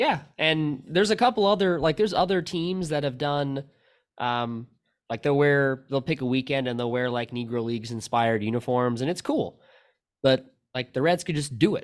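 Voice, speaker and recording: A man's fairly high, normal speaking voice at a moderate pace with lively intonation, in a very clean recording with a silent background. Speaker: podcast co-host and baseball fan. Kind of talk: casual chat about baseball. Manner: casual, talkative.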